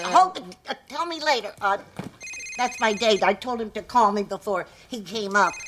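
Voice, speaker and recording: A put-on character voice from a woman, fairly high in pitch, at a moderate pace. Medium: short film.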